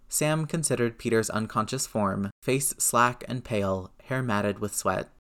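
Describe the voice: Plain reading aloud. The words are simply read out.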